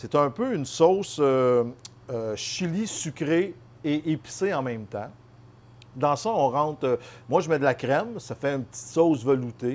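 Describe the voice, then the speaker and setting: This man talks at a fairly slow pace with long, frequent pauses. His voice sits fairly high, with lively intonation. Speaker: chef. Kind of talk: cooking tutorial. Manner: casual, many hesitations.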